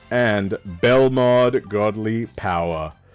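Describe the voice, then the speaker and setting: A man's voice over music in the background. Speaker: streamer. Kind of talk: casual stream commentary, pack opening.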